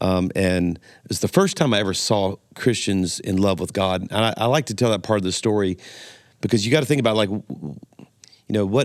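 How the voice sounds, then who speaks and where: The recording is very clean, with a silent background. A man speaks at a fairly quick pace with a fairly low pitch and ordinary pitch variation. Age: 60s. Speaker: pastor. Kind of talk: podcast interview.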